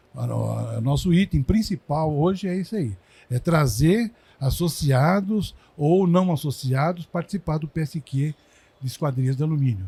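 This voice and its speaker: Somewhat breathy and dark, mellow in tone, this man talks at a fairly high pitch. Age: 70s. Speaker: industry consultant. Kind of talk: casual chat. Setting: recording at a trade fair.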